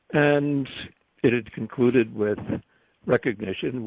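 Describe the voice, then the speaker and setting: Delivery is very slow, with ordinary pitch variation. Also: man. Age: 80s+. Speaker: priest and theology professor. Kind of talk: interview.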